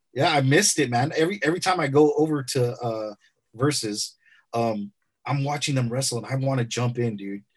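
A somewhat breathy man speaks at a fairly quick pace in a medium pitch, with ordinary pitch variation. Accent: American. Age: 40s. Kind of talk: casual chat.

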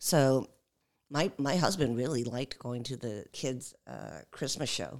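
Her very deep, low voice has vocal fry and ordinary pitch variation as the woman speaks at a fairly slow pace. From Los Angeles, moved from Seoul at age five. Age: 50s. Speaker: housing and environmental justice advocate. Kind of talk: casual chat. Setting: studio. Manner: hesitant, many fillers.

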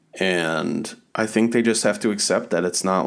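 Here, a normal speaking voice keeps a moderate pace with fairly even intonation. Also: man. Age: 30s. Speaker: podcast co-host. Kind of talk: casual chat. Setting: video call.

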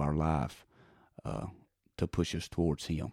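A man with a Texan accent, very deep and low in pitch, with a dark, mellow tone, a moderate pace, and a dry, close sound on a very clean recording with a silent background. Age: 30s. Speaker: evangelist preacher. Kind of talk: interview.

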